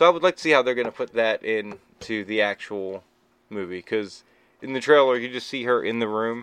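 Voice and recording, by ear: Someone is reading aloud in a natural voice.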